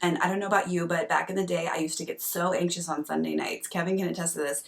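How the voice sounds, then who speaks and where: A woman talks at a very fast pace with a fairly low pitch and fairly even intonation. Noticeable background noise runs under her speech. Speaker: doctor and coach. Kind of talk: casual vlog talk. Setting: at home at night. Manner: conversational with fillers.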